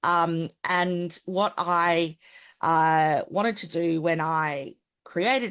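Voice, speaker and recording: In a strong Australian accent, a woman speaks at a fairly low pitch with fairly even intonation over a quiet background. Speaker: accessibility consultant. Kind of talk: webinar presentation.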